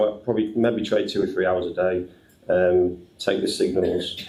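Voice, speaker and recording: Fairly slow, somewhat breathy speech from a man, with ordinary pitch variation and audible room echo. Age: 50s. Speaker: trader and business owner. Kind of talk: panel discussion at live event. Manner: halting, many fillers.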